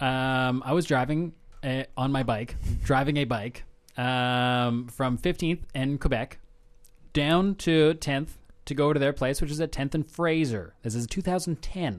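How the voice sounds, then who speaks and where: A man with an ordinary speaking voice talks at a fairly slow pace, pitched fairly high, with ordinary pitch variation. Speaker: campus radio co-host. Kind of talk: casual comedic radio chat. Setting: radio studio. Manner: playful, jokey.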